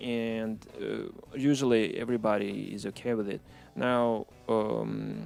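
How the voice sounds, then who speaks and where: A man speaks at a fairly slow pace with a Russian accent. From Ukraine (Odessa), born in Moscow. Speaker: musician. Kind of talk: interview. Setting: studio. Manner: halting, many fillers.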